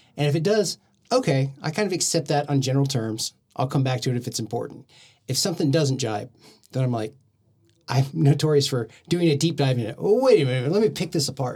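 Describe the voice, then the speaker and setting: A man speaks very fast with an American accent, at a fairly high pitch and with ordinary pitch variation. His tone is dark and mellow, and somewhat breathy. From Oklahoma, Del City. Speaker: podcast guest. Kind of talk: casual chat.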